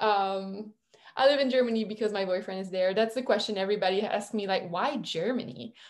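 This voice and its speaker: This woman speaks at a fairly quick pace in a French Canadian accent, her medium pitch showing ordinary variation. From Quebec, French Canada. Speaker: virtual assistant, former kindergarten teacher. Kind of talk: interview conversation.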